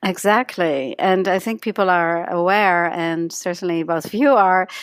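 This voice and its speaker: On a very clean recording with a silent background, a woman with a slight Dutch accent talks at a moderate pace and medium pitch, with ordinary pitch variation. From Netherlands. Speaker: energy healing teacher, author. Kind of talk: interview.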